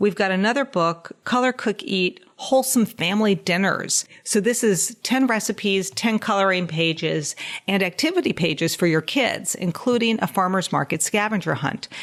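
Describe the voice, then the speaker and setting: A woman's plain, everyday voice with an American accent, medium in pitch, with lively intonation, very even loudness and a moderate pace. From New York (Westchester). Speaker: dietitian and podcast host. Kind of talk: casual podcast monologue.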